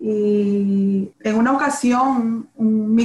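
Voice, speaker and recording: A woman speaks in a fairly high pitch. Her intonation stays fairly even. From Nicaragua, Managua. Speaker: real estate broker. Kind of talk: interview. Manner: halting.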